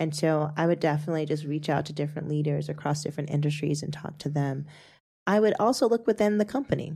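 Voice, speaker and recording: Talking at a very fast pace, a woman has a very deep, low pitch and a dark, mellow tone with ordinary pitch variation. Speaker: podcast host. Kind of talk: casual interview chat. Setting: studio.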